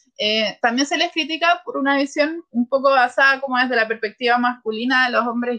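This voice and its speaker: A woman speaks in a raised, projected voice at a fairly quick pace. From Chile. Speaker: sociologist. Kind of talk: expert interview.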